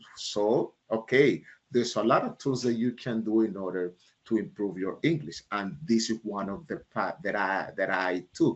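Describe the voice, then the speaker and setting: A man with a Panamanian accent, at a fairly slow pace with ordinary pitch variation. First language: Spanish. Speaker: leadership speaker and author. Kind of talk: keynote talk answering audience questions. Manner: halting, with many fillers.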